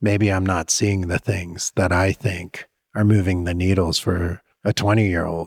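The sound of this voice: At a fairly slow pace, a man with a low pitch and little pitch movement speaks in a dry, close sound with no echo on a very clean recording with a silent background.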